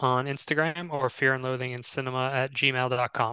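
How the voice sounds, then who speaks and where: With an American accent, a man speaks at a moderate pace in a bright, sharp tone with monotone, flat intonation. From Texas. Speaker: podcast co-host. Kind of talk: casual chat.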